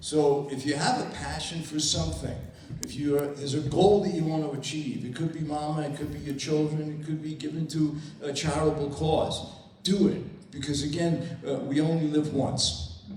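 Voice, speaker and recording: Audible room echo surrounds a man speaking at a moderate pace. His pitch is fairly high and his intonation fairly even. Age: 70s. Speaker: network marketing distributor. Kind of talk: motivational talk. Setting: stage with audience. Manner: casual, hesitant.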